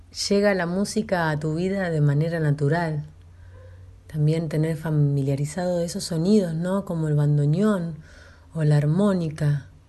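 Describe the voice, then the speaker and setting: This woman has a dark, mellow tone and a fairly low pitch with fairly even intonation. Audible room echo surrounds her voice. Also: fairly slow pace. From northern La Pampa, Argentina. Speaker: radio host. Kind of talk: interview.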